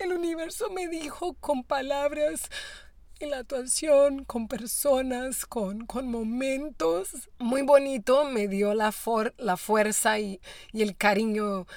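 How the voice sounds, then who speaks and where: In a very clean recording with a silent background, a woman with a high pitch speaks at a very slow pace with lively intonation. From Brazil. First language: Portuguese (speaking Spanish). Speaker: actress and voice actor. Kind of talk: interview. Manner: halting.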